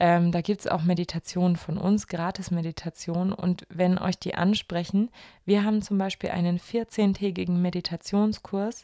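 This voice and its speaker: A woman speaks at a moderate pace in a medium pitch, with a dark, mellow tone and monotone, flat intonation, on a very clean recording with a silent background and a dry, close sound with no echo. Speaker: podcast host. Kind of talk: casual podcast chat. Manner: warm, personable, reflective.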